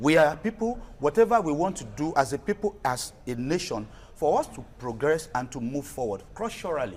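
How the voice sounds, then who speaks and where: A man with a Nigerian accent, fairly high in pitch, with very wide pitch swings at a moderate pace, with music in the background. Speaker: culture and heritage advocate. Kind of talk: TV talk show interview.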